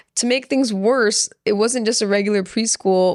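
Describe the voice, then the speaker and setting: Speaking at a moderate pace with fairly even intonation, a woman with a medium-pitched voice is heard in a dry, close recording with no echo. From Orange County, California, Persian-American family. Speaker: podcast guest, chef. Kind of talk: casual chat.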